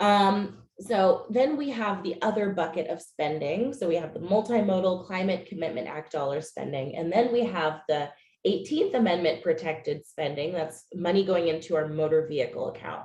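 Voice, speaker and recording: Using a normal speaking voice, a woman with fairly low pitch and lively intonation speaks with hardly any pauses. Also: moderate pace. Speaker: policy staffer presenting legislative update. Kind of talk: webinar presentation.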